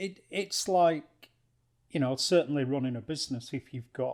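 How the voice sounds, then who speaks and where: This man has an unremarkable speaking voice, pitched in the medium range with ordinary pitch variation. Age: 60s. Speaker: non-executive director. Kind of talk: casual chat.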